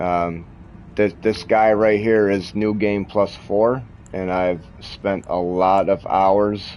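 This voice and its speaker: A man talks at a very slow pace. His pitch is fairly low and his intonation fairly even. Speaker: gaming streamer. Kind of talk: live gameplay commentary. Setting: live stream while gaming, wearing headphones. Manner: loud.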